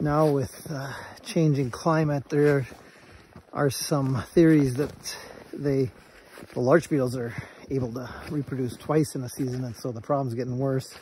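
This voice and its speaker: A man at a moderate pace, with fairly even intonation and long, frequent pauses, dry sound with no echo and light background noise. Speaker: nature guide. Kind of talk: casual vlog chat. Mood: cheerful, laughing. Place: forest. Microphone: phone near.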